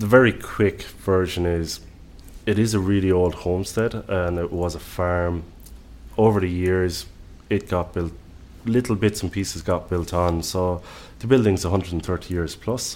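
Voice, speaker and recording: A man's very deep, low voice in an Irish accent at a fairly slow pace. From Ireland. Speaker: executive chef. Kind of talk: casual interview conversation.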